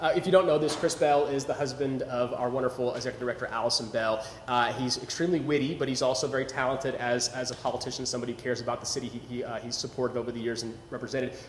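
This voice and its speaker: Very fast and with hardly any pauses, a man with an American accent talks over noticeable background noise. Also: medium pitch for a man. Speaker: local historian and tour host. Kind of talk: live talk show interview. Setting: live stream studio. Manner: animated.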